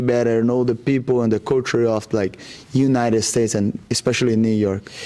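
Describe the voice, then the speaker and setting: The speaker has a Brazilian accent. The pace is moderate. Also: man. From Brazil, Rondônia. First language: Portuguese. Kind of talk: interview. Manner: halting, many fillers.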